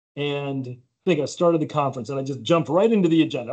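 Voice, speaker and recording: A man's fairly high-pitched voice with a dark, mellow tone, a fairly quick pace, and an American accent. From United States. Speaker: insurance company president. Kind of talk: podcast interview.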